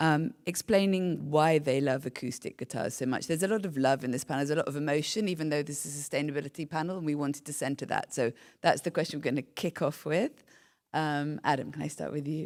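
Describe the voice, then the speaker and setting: Over a silent background in a very clean recording, a woman with a very deep, low pitch talks at a very fast pace with a British accent. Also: ordinary pitch variation. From UK. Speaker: panel moderator, nonprofit director. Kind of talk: panel moderation.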